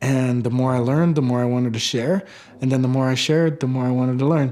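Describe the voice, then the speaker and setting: Music plays in the background as a man with an American accent talks. His pace is fairly quick and his tone is calm. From Warm Springs Indian Reservation, Oregon. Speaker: artist and storyteller. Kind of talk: documentary interview answer. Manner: calm, reflective.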